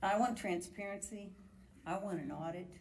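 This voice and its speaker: A medium-pitched woman's voice with an American accent and audible room echo. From US Midwest, Indianapolis area. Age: 70s. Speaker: retired nurse, member of the public. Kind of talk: public hearing testimony. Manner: animated.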